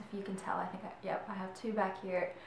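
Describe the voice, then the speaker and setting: Someone with an American accent speaks at a moderate pace, with audible room echo and light background noise. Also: woman. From Michigan. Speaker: YouTuber. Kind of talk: casual vlog talk. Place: home room. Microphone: camera far.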